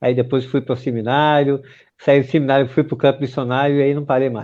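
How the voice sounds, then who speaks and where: This man has a northeastern Brazilian accent and a medium pitch. He talks at a fairly quick pace in a monotone, flat intonation. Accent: northeastern Brazilian, Pernambuco. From Pernambuco, Recife. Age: 50s. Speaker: pastor. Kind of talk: interview. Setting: live stream.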